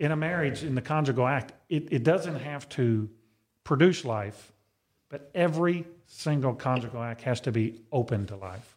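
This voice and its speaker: A man with a normal speaking voice talks at a fairly slow pace, at a fairly high pitch with ordinary pitch variation and big swings in loudness. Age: 50s. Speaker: deacon, podcast co-host. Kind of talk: casual chat. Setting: studio.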